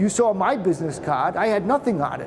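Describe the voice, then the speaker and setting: A high-pitched man with a Boston accent at a very fast pace, over noticeable background noise. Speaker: patent attorney. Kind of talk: presentation to trade show audience. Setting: trade show presentation with audience. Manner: casual, conversational.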